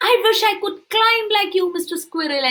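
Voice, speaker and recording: This woman uses a put-on character voice at an extremely high pitch. The sound is squeaky. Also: moderate pace. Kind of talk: bedtime story. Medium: read story.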